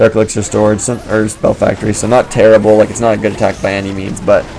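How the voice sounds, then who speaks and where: A man speaks at a very fast pace with a fairly low pitch. His intonation is monotone and flat, with music in the background. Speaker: gaming video creator. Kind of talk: gameplay commentary. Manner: casual, filler-heavy.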